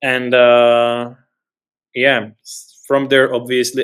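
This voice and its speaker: A man speaks with a European accent. His pitch is medium. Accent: noticeable European. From Central Europe. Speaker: tech company founder. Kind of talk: webinar interview.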